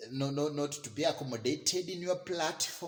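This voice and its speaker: A man with a Kenyan accent, fairly high in pitch, at a fairly slow pace. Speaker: vlogger. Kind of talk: rant. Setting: live video. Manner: halting, repetitive.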